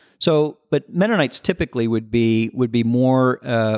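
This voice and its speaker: This is a man speaking. He has a Midwestern American accent. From US Midwest, southern Michigan and northern Indiana. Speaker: business founder and CEO. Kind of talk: interview. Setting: on site at company headquarters. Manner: halting, many fillers and repeated words.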